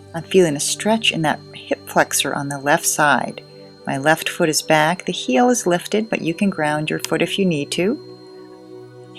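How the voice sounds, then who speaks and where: Over music in the background, a soft-spoken woman talks at a fairly slow pace with a very deep, low pitch, a calm, gentle tone and lively intonation. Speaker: yoga instructor. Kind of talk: guided yoga class instruction.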